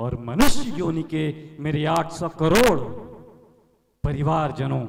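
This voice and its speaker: Audible room echo surrounds a man with a fairly high voice and ordinary pitch variation. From India, Uttar Pradesh. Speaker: self-proclaimed political visionary. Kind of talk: address to the world. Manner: formal.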